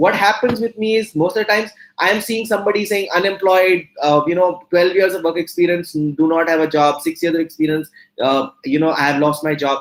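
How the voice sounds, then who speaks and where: A man at a high pitch with ordinary pitch variation, talking at a very fast pace. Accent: Indian. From India. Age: 40s. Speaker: entrepreneur and motivational speaker. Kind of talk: guest talk to students. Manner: animated.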